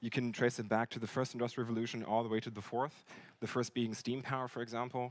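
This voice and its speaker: A man's voice at medium pitch. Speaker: company marketing director giving a talk. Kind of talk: conference lecture. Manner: fast.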